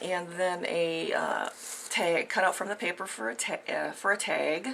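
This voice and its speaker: A woman does a raspy, put-on character voice at a fairly low pitch. She speaks at a moderate pace over light background noise. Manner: stuttering, halting.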